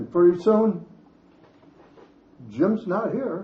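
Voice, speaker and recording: A man with an American accent, at a very slow pace. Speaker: senior resident sharing memories. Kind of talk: storytelling talk.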